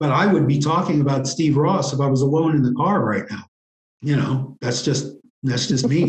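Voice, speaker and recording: In an unremarkable speaking voice, a man with an American accent talks at a moderate pace, his pitch fairly high with ordinary variation. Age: 60s. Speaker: interview guest, writer. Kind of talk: interview.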